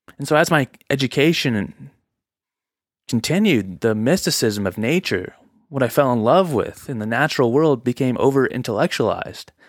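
Speaking at a moderate pace with lively intonation, a man uses an ordinary speaking voice at a medium pitch, captured in a very clean recording with a silent background. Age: 20s. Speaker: podcast host. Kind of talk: solo monologue podcast. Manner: casual, conversational.

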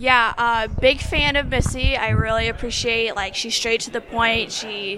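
Over noticeable background noise, a woman speaks fairly slowly with hardly any pauses, her fairly high voice kept at a fairly even intonation. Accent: American. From Indiana. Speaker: job seeker, recent graduate. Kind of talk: interview.

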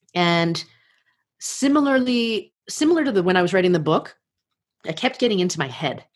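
A woman with an American accent talks at a moderate pace in a medium pitch, her voice making very wide pitch swings and broken by long, frequent pauses. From United States. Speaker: podcast host and life coach. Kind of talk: interview. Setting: remote call from home. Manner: natural, fluent.

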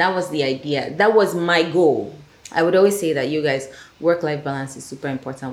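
With a Nigerian accent, a woman speaks at a moderate pace with ordinary pitch variation and audible room echo. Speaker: filmmaker and producer. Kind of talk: casual chat.

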